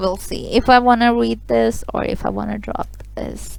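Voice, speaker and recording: With a non-native accent, a woman is talking. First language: not English. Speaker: webtoon reader and commentator. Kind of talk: reading aloud with commentary. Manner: casual, animated.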